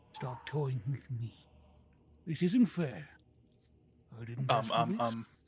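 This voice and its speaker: This put-on character voice sits at a low-to-middle pitch. It moves at a fairly slow pace with long, frequent pauses. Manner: paranoid, muttering, confused.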